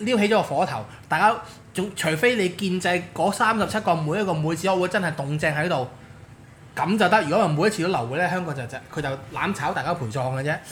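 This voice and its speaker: Animated in tone, a man speaks at a high pitch and fairly quick pace with lively intonation. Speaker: political commentator. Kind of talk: casual chat.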